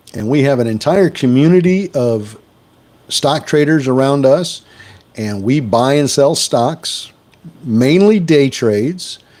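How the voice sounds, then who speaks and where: A man's dark, mellow voice with lively intonation and an American accent. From US Midwest, Wisconsin. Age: 60s. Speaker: stock trading livestreamer. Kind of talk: live stream chat.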